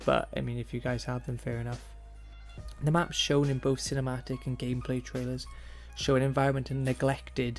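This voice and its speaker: A man talks at a fairly quick pace while music plays behind him. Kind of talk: video game commentary narration. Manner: monotone; stuttering.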